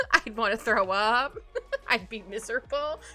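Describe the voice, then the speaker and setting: Music plays behind a woman whose pitch swings very widely. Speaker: vtuber streamer and artist. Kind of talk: casual live stream chat while drawing. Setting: live stream. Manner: fast.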